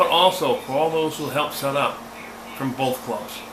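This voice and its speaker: Audible room echo and noticeable background noise around a male speaker with ordinary pitch variation. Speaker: ham radio vlogger. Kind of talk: casual video outro; radio contact exchange. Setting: outdoor field day event. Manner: hesitant with many fillers.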